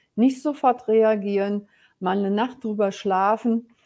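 A woman's fairly high voice, dark and mellow in tone, at a fairly slow pace. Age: 60s. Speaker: business coach. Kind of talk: personal storytelling. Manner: hesitant fillers.

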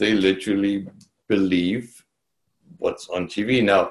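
A man speaks with a German accent. His pitch is fairly low. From East Germany. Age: 60s. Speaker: real estate agent. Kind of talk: interview storytelling. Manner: calm.

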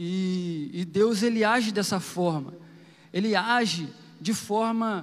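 A high-pitched man speaks with fairly even intonation amid audible room echo. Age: 30s. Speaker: preacher. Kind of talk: sermon. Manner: informal, conversational.

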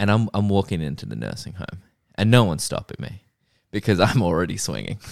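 On a very clean recording with a silent background and a dry, close sound with no echo, a man with a fairly low pitch and vocal fry talks at a very fast pace, with ordinary pitch variation and big swings in loudness. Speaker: podcast host. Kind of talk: casual comedic chat. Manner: jokey, animated.

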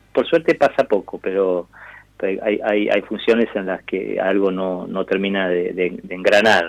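In a normal speaking voice, a man talks at a fairly slow pace with a fairly low pitch and ordinary pitch variation. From Argentina. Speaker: actor. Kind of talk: interview.

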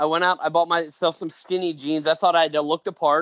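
Against a quiet background with a dry, close sound and no echo, the speaker uses an ordinary speaking voice with fairly even intonation at a fairly quick pace. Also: man. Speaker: pastor and author. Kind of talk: casual interview, storytelling.

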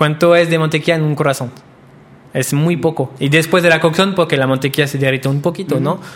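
A man's fairly high voice at a very fast pace with fairly even intonation. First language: French (speaking Spanish). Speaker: pastry chef. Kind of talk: interview.

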